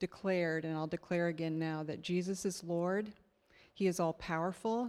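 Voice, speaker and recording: A woman with a plain, everyday voice and a fairly low pitch speaks at a moderate pace with fairly even intonation on a very clean recording with a silent background. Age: 60s. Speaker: church member sharing testimony. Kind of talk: testimony. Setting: stage with audience.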